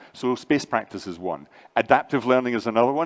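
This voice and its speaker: Here a man speaks at a fairly quick pace. His pitch is medium. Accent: Scottish. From Scotland. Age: 60s. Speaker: AI and learning entrepreneur, conference speaker. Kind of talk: conference panel discussion.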